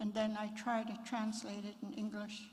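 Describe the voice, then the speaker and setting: Somewhat breathy and fairly high-pitched, a woman talks at a moderate pace with audible room echo around her. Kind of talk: memorial address; opening prayer and blessing. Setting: memorial service at fairgrounds.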